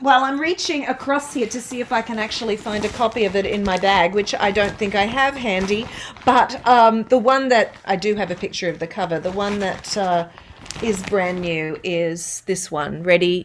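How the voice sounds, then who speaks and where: A woman with an Australian accent talks with ordinary pitch variation amid noticeable background noise. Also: medium pitch for a woman, moderate pace. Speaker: voice-over artist and singer. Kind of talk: interview answer.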